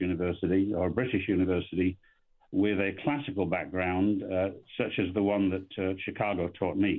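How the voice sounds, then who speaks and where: The talking moves along fairly quickly. It comes with an English accent. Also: man. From England. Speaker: economist. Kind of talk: radio interview. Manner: halting.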